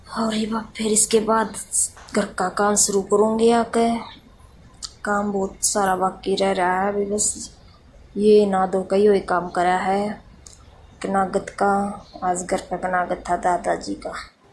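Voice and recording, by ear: A woman speaks slowly at a medium pitch, her tone slightly mellow and her pitch moving little. Audible room echo is present.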